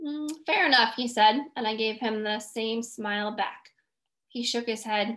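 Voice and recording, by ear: Someone is reading aloud in a natural voice, with ordinary pitch variation. The background is quiet.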